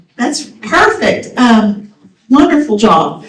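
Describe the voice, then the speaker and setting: Room echo is audible as a woman speaks very slowly in a high pitch with ordinary pitch variation. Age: 60s. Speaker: seminar host. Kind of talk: seminar announcements and moderation.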